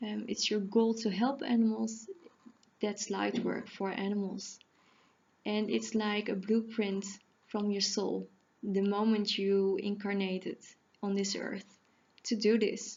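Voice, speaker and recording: A woman of medium pitch speaks at a fairly slow pace in a monotone, flat intonation, with long, frequent pauses. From Netherlands. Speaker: animal communicator and healer. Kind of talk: casual talk to camera. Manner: halting, self-correcting.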